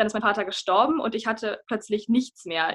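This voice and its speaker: Fairly quick female speech, fairly high in pitch and with ordinary pitch variation. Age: 20s. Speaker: mental health influencer. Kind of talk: interview.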